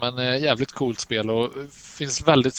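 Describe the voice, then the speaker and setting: This man's delivery is very slow, at a medium pitch. The intonation remains fairly even. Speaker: podcast co-host. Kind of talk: casual chat about games and films.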